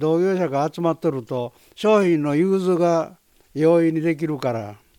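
In a Kansai accent, a man with a dark, mellow tone and fairly high pitch speaks at a fairly slow pace. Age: 80s+. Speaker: roof tile company president. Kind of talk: interview.

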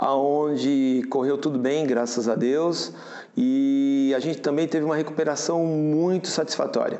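A man speaks at a fairly high pitch and a fairly slow pace. Audible room echo surrounds his voice. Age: 50s. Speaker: prostate cancer patient, auto body shop owner. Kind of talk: interview testimony. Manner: halting, with fillers and repetitions.

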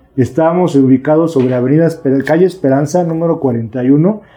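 A man speaks with a Mexico City accent at a fairly high pitch. His pace is moderate and his pitch varies in an ordinary way. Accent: Mexico City Spanish (chilango). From Mexico City (Milpa Alta / Xochimilco). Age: 40s. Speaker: recovering addict, recovery group leader. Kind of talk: testimony. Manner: calm.

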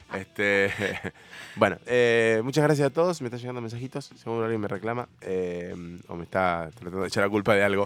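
A man of medium pitch rushes along at a very fast pace yet leaves long, frequent pauses, with ordinary pitch variation and big swings in loudness. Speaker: radio host. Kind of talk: casual chat.

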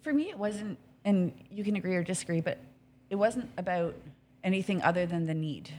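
Somewhat breathy, a woman with a Canadian accent talks at a fairly quick pace with ordinary pitch variation and long, frequent pauses. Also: medium pitch for a woman. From Canada, Hamilton, Ontario. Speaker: restaurant business owner. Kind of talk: casual interview chat. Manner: animated.

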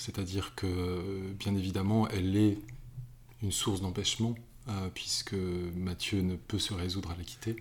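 A man with a very deep, low pitch and a somewhat breathy voice talks at a fairly slow pace with fairly even intonation. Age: 50s. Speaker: novelist. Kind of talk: interview. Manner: halting, many repetitions and hesitations.

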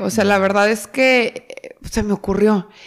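Pitched fairly high with ordinary pitch variation, a woman talks in a normal speaking voice. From Mexico, Torreón, Coahuila. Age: 20s. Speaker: startup founder. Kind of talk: interview.

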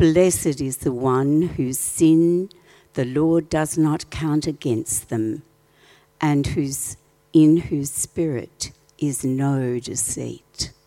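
Very deep and low, a woman's voice carries a dark, mellow tone. She talks at a very slow pace with ordinary pitch variation. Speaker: scripture reader. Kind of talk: reading aloud. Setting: church.

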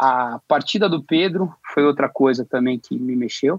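A man with an unremarkable speaking voice, lively intonation and a fairly slow pace. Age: 50s. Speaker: graphic production professional. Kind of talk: casual chat.

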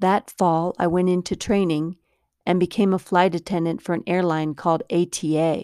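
Recorded very cleanly against a silent background, a woman speaks in a fairly low pitch with a dark, mellow tone and a dry, close sound free of echo. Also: fairly even intonation, moderate pace. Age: 50s. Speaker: podcaster and actress. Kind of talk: personal storytelling monologue.

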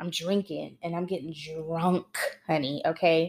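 This woman has a fairly low pitch. Her tone is animated. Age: 20s. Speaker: podcast host. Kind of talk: casual monologue.

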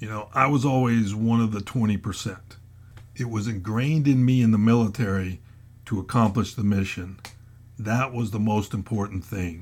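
This man talks at a moderate pace with a fairly low pitch and fairly even intonation. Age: 60s. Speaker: retired federal agent turned motivational blogger. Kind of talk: motivational podcast monologue. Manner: hesitant with frequent fillers.

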